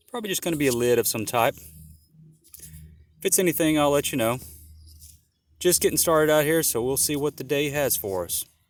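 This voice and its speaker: Soft-spoken, a man with a fairly high pitch talks at a moderate pace with lively intonation over music in the background. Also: long, frequent pauses. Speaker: metal detecting hobbyist. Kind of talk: casual vlog narration while detecting. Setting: outdoors. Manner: casual halting.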